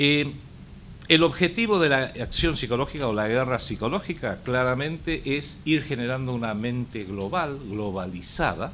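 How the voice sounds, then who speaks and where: Lively intonation runs through an ordinary speaking voice at a moderate pace. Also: man, medium pitch for a man. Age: 60s. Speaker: book author. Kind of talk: book presentation talk.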